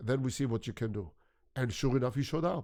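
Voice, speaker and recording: A man with a non-native accent speaks at a fairly quick pace. The recording is very clean, with a silent background. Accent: foreign accent, noticeably non-American. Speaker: photographer. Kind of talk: interview conversation.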